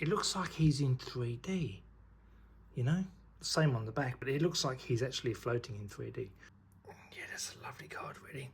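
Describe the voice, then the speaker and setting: A man whispering, quiet and somewhat breathy, at a moderate pace with long, frequent pauses. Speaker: YouTuber unboxing trading cards. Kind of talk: casual unboxing commentary. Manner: quiet, half-whispering; animated, enthusiastic.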